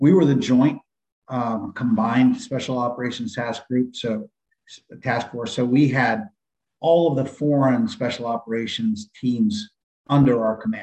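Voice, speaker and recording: Speaking at a fairly slow pace with an American accent, a man uses an unremarkable speaking voice at medium pitch with ordinary pitch variation. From San Diego, California. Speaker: retired Navy SEAL, firearms instructor. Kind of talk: interview.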